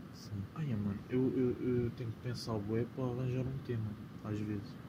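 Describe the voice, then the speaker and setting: A man's medium-pitched voice at a fairly slow pace, with fairly even intonation and audible room echo. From Portugal, Lisbon. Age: 20s. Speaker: podcast co-host. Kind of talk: casual chat.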